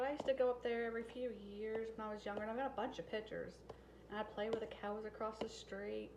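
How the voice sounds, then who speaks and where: Talking at a very fast pace in a monotone, flat intonation, a woman uses a fairly high pitch against noticeable background noise. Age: 40s. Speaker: family vlogger. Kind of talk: cooking vlog chat. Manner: casual.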